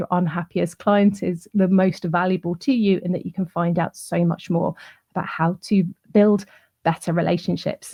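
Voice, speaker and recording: Somewhat breathy, a woman talks at medium pitch. Her pace is moderate. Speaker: client relationships trainer. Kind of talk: online summit presentation.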